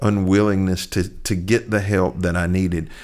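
A man with an eastern North Carolina accent, fairly low in pitch and at a fairly slow pace, on a very clean recording with a silent background. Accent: US Southern (eastern North Carolina). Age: 50s. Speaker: pastor. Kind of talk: interview conversation.

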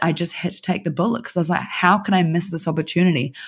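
A woman with a New Zealand accent, fairly low-pitched, in a very clean recording with a silent background. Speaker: design studio owner. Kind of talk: interview conversation.

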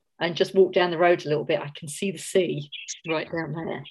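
A woman with a Cockney accent speaks with ordinary pitch variation. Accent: London Cockney English. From South London, England. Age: 50s. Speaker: novelist. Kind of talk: casual interview chat.

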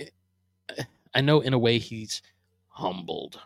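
Recorded very cleanly with a silent background, a man with an American accent talks at a medium pitch in a dry, close sound with no echo. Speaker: podcast host, Eagles fan. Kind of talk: casual solo podcast, sports talk. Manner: casual, rambling, self-deprecating.

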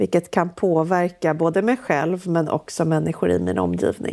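There is vocal fry in this woman's fairly low voice. She moves at a moderate pace. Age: 30s. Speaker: entrepreneur and author. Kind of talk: casual interview. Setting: remote call.

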